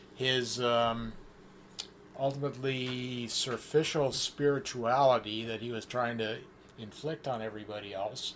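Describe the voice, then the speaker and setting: A man with a Canadian accent speaks at a medium pitch with fairly even intonation, and noticeable background noise is present. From Canada, near Windsor, Ontario. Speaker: community theater actor and director. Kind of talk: casual interview chat.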